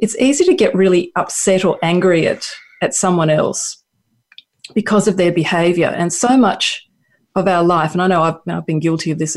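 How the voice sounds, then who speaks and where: Against a quiet background, a woman speaks with an Australian accent. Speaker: counsellor. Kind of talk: casual chat. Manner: halting.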